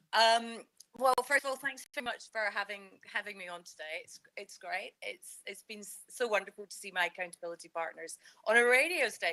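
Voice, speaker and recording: A woman's fairly high, bright, sharp voice, with lively intonation and big swings in loudness, in a dry, close sound with no echo. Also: fairly quick pace. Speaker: leadership consultant, entrepreneur. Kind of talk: radio interview.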